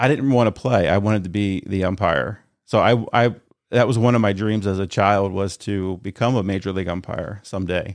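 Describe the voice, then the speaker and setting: Over a very clean, silent background, a man with an American accent talks at a fairly quick pace in a fairly low pitch with ordinary pitch variation. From Northern Delaware, US. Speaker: church elder. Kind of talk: testimony.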